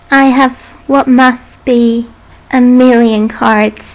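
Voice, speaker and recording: Through noticeable background noise, a woman with a high pitch speaks at a very slow pace with fairly even intonation. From British. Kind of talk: creepypasta story narration. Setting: built-in microphone.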